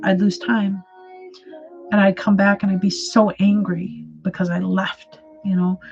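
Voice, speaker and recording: With an American accent and medium pitch, a woman speaks in fairly even intonation while music plays in the background. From Wisconsin, US. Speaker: artist and mental health livestreamer. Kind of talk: casual livestream chat with viewers. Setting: livestream. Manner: hesitant, many fillers and repeats.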